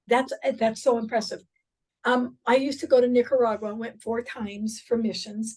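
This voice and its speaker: A woman talks at a moderate pace in an unremarkable speaking voice. Her fairly high pitch holds fairly even intonation. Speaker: real estate coach. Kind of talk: workshop training session. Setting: in-person class with Zoom participants.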